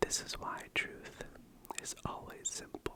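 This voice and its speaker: A man whispers at a very slow pace. Noticeable background noise runs underneath. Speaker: ASMR creator. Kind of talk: ASMR book reading. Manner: whispered.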